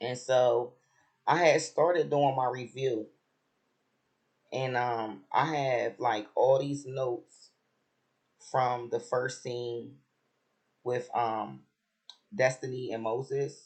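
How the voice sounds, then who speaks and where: Speaking at a very slow pace with long, frequent pauses, a man uses a somewhat breathy, medium-pitched voice. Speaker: reality TV commentator, vlogger. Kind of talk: casual vlog commentary. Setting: at home on vacation.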